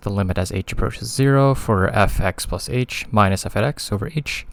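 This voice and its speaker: The voice belongs to a man. It has a medium pitch. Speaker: math tutor. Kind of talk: casual tutorial explanation.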